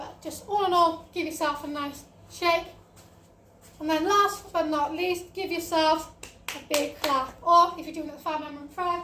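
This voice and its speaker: A woman speaks in a raised, projected voice at an extremely high pitch, with big swings in loudness and fairly even intonation. Her moderate pace carries an audible room echo. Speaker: fitness instructor. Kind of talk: workout instruction. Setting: home online class over wi-fi.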